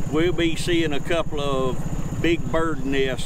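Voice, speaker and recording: A man's voice sounds dry with no echo, set against loud background noise. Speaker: local tour guide. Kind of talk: casual conversation on a boat tour. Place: boat.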